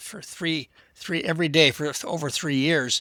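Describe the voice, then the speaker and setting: A man with an American accent at a moderate pace, bright and sharp in tone, on a very clean recording with a silent background and a dry, close sound with no echo. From Texas. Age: 70s. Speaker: historian. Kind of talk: casual chat. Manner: halting, repeats words.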